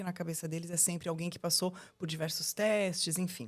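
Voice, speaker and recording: In a Brazilian accent, a woman with a medium pitch speaks at a fairly quick pace on a very clean recording with a silent background. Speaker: lawyer. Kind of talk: podcast interview. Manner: halting, with fillers.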